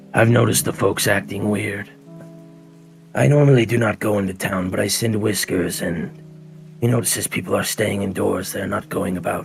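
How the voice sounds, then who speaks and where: A man puts on a raspy character voice at a fairly low pitch, with lively intonation and a moderate pace. Clear music plays in the background. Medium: actual play. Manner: suspicious, cryptic, slow.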